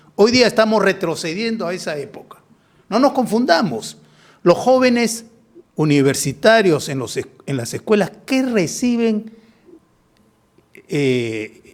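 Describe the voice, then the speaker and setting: Speaking high for a man at a fairly slow pace, he swings his pitch very widely, pauses long and often, and shifts greatly in loudness. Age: 70s. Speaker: political commentator. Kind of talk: political talk show discussion.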